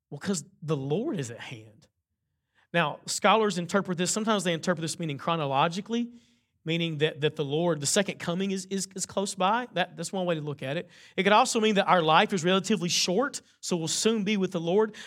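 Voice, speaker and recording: A loud, high-pitched male voice at a fairly quick pace, in a very clean recording with a silent background. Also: ordinary pitch variation. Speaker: pastor. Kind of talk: sermon. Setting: church.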